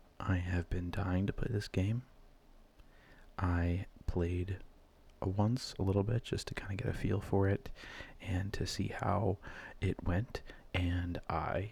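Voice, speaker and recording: In a very clean recording with a silent background, a soft-spoken man with a very deep, low pitch talks very slowly in a monotone, flat and somewhat breathy voice, leaving long, frequent pauses. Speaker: ASMR gaming video creator. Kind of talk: casual gaming commentary, soft-spoken ASMR. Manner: soft-spoken, rambling.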